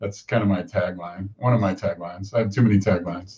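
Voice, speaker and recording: A man's speech is somewhat breathy, its pitch varying in an ordinary way. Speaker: interview show host. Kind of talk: casual interview chat.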